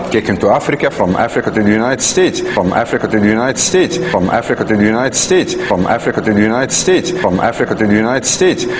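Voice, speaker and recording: A man at medium pitch races at a very fast pace with hardly any pauses, very wide pitch swings and very even loudness, amid noticeable background noise. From Palestine (Afro-Palestinian). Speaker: interviewee, Afro-Palestinian resident. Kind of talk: interview testimony.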